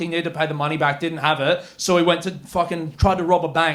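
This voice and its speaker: A man talks fairly fast. His accent is Australian. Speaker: stand-up comedian. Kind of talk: live stand-up comedy set. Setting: comedy club stage, live audience.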